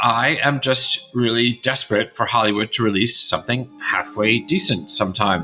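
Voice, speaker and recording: A man with an American accent talks at a moderate pace, with hardly any pauses and very even loudness. Music plays in the background. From England. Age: 50s. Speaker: podcast host. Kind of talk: casual chat.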